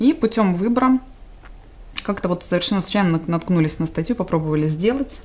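Talking at a fairly quick pace with lively intonation, a woman leaves long, frequent pauses. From Donetsk, Ukraine. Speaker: displaced person and volunteer. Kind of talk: interview. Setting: studio. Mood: reflective, sometimes emotional. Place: studio.

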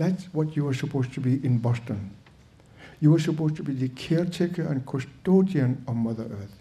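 This man's voice sits fairly high for a man, somewhat breathy with a dark, mellow tone, and moves fairly quickly with ordinary pitch variation. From Greenland. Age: 70s. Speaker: guest. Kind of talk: talk to audience. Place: hall. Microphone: podium.

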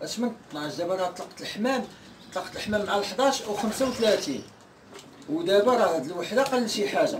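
There is noticeable background noise behind this man. He speaks at a fairly quick pace. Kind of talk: casual vlog chat. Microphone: camera far.

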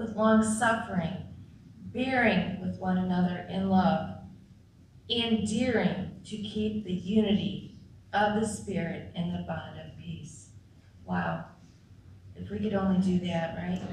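A woman's fairly slow speech with long, frequent pauses, audible room echo and light background noise. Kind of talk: scripture reading and prayer. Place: church.

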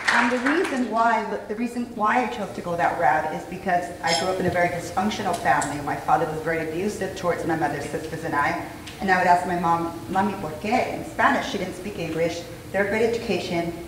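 A woman with a fairly low voice and ordinary pitch variation talks at a very fast pace, with light background noise and audible room echo. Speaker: conference guest. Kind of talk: interview answer. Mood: earnest personal storytelling. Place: hall.

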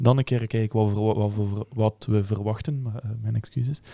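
A man's dark, mellow voice with fairly even intonation over a quiet background. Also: dry sound with no echo. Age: 20s. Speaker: football fan podcast host. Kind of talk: casual chat. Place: studio. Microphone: studio mic.

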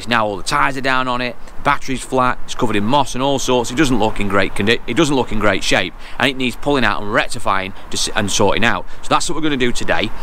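A man talking at a very fast pace with ordinary pitch variation, dry with no echo, over light background noise. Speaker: car trader vlogger. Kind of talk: casual vlog chat. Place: street. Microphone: phone near.

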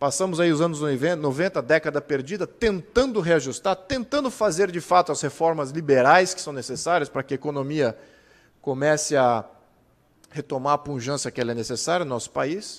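A man speaks at a moderate pace in a normal speaking voice, fairly high in pitch with ordinary variation. The background is quiet. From Brazil. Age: 40s. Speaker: political activist and speaker; speaker. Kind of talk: lecture. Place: hall. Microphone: podium.

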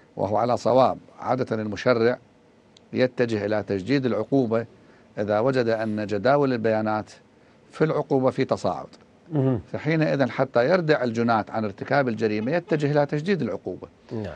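This man's voice sits at a medium pitch, moving at a moderate pace with ordinary pitch variation. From Iraq. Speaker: religious thinker and researcher; guest. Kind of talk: TV interview. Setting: remote link from another city. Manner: formal.

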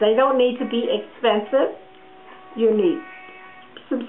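Music plays behind a woman's high-pitched voice. She speaks fairly slowly with lively intonation. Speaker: sewing teacher. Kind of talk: instructional sewing lesson to camera. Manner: friendly, warm.

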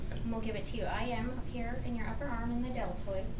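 A woman talks at a fairly quick pace. Loud background noise runs underneath her. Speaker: medical provider giving the vaccine. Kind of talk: explaining a medical procedure to a patient. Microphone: camera far.

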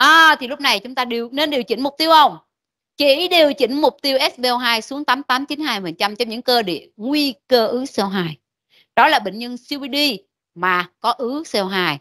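The tone is bright and sharp, at a fairly slow pace. The background is quiet. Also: woman, high pitch for a woman. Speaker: medical lecturer. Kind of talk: lecture. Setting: classroom. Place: classroom.

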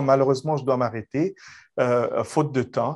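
Fairly slowly, a man reads with ordinary pitch variation. Nothing disturbs the quiet background. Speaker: immigration consultant, podcast host; podcast host. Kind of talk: interview. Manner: formal. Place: office. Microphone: video call.

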